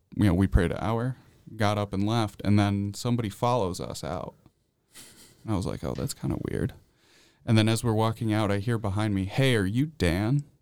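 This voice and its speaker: A man with an American accent talks at a moderate pace in a fairly low voice. His pitch varies in an ordinary way, and he takes long, frequent pauses. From central New York. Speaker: college student. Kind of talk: radio interview. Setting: studio.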